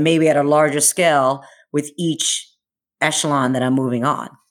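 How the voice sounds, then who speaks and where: A woman with an American accent, a very deep, low pitch, fairly even intonation and a fairly slow pace, in a very clean recording with a silent background. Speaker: Air Force colonel and triathlete. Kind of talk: casual chat.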